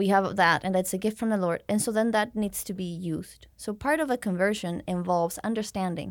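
A woman with a Spanish accent talks at a fairly quick pace in a medium pitch, with ordinary pitch variation. The recording is very clean, with a silent background. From Mexico City, Mexico. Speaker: missionary. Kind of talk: interview, faith testimony.

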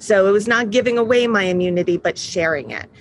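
A woman with an American accent speaks with ordinary pitch variation over noticeable background noise. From New York. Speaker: patient advocacy founder. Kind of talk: interview.

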